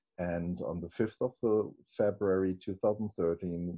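A man with a German accent speaks at a very deep, low pitch and a fairly slow pace, with ordinary pitch variation. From northern Germany, Hamburg area. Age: 40s. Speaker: interviewee, church member. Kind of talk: testimony. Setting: video call. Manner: halting, many restarts.

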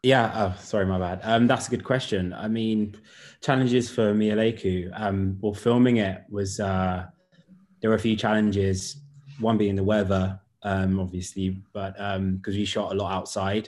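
Against a quiet background, a man with a British accent talks at a moderate pace in a monotone, flat way. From UK. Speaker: writer and director. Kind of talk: online panel Q&A.

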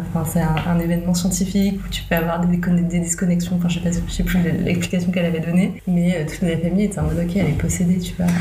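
A woman's fairly low, monotone, flat voice at a very fast pace with hardly any pauses, very even loudness and noticeable background noise. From Morocco, near Casablanca. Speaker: entrepreneur, former marketing worker. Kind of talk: casual chat.

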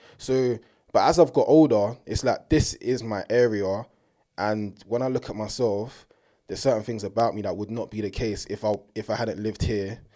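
On a very clean recording with a silent background, a man speaks at a medium pitch and moderate pace. His tone is dark and mellow, and his intonation fairly even. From south-east London, England. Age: 20s. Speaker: university student. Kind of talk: casual chat.

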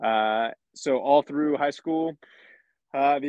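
An unremarkable speaking voice from a man, fairly high in pitch with ordinary pitch variation. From rural Pennsylvania, near Lancaster. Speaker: fighter pilot. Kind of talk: interview conversation.

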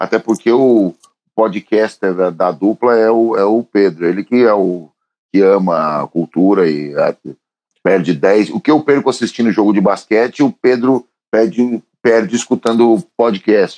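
A man speaks with a dark, mellow tone and a fairly low pitch. His intonation is lively, and the sound is dry and close with no echo. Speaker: podcast co-host, musician. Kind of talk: casual chat. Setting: at home.

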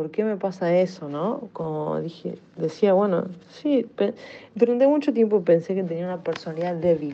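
Speaking with an ordinary speaking voice, a woman uses fairly low pitch and lively intonation at a moderate pace. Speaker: listener sending voice message. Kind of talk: voice message.

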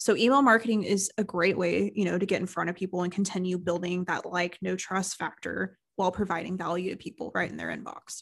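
Speaking at a fairly quick pace with hardly any pauses, a woman uses fairly even intonation, a medium pitch and vocal fry. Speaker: marketing agency owner and podcast co-host. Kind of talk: casual business chat. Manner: conversational, laughs often.

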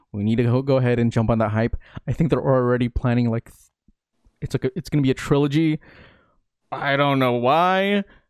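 Speaking at a fairly quick pace with long, frequent pauses, a man with an American accent has a medium pitch and ordinary pitch variation. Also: dry, close sound with no echo, very clean recording, silent background. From US, Filipino American family. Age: 20s. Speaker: blogger and online community creator. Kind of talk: casual interview chat.

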